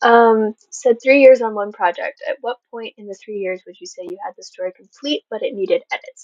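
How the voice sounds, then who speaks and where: Soft-spoken yet lively in intonation, a woman talks at a moderate pace and a fairly high pitch, with big swings in loudness and a dry, close sound with no echo. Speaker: author hosting a livestream Q&A. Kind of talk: livestream Q&A. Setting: livestream. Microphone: mic may not pick up quiet voice.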